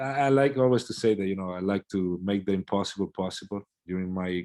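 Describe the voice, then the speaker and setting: On a very clean recording with a silent background, a man with an Italian accent talks at a fairly quick pace in a very deep, low pitch. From Italy. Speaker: swim coach. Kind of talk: interview. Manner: hesitant, many fillers.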